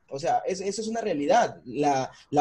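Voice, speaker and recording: The speaker is a man. His voice sits at a high pitch. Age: 20s. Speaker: podcast co-host. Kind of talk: casual chat.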